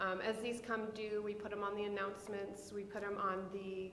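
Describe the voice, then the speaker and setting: A voice with an American accent and monotone, flat intonation comes through noticeable background noise and audible room echo. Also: woman. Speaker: school counselor. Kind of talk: presentation to school board. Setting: school board meeting.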